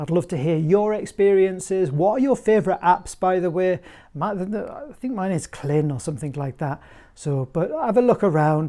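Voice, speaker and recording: A man with a dark, mellow tone speaks at a moderate pace and with ordinary pitch variation against a quiet background. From northern England, Durham; northern England. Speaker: flute maker and teacher; teacher. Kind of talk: tutorial; casual vlog chat. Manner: casual, hesitant with fillers. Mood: warm, relaxed, friendly. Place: home room. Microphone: lapel.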